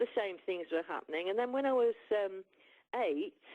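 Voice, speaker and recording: With an English accent, a woman speaks in a lively, varied intonation. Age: 60s. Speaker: musician. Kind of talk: interview. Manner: halting.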